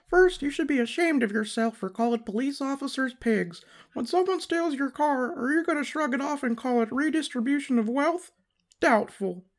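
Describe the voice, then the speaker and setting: A high-pitched, female-sounding put-on character voice at a moderate pace, in a very clean recording with a silent background. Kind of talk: mock-formal. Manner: exaggerated, comedic put-on.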